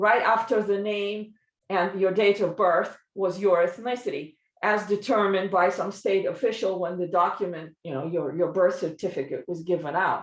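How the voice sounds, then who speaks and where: Her voice is medium-pitched, with ordinary pitch variation. The woman talks at a moderate pace in a Russian accent. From Soviet Union, Eastern Europe. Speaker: linguist panelist. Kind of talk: academic presentation.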